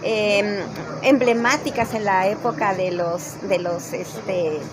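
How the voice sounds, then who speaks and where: Through audible room echo and noticeable background noise, a woman speaks at a very slow pace and a medium pitch with ordinary pitch variation. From Mexico, Mexico City. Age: 60s. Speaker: politician. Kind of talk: casual chat. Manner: halting.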